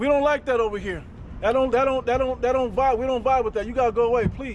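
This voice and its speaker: An extremely high-pitched, loud man at a very fast pace. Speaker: street preacher. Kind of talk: street preaching. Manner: animated.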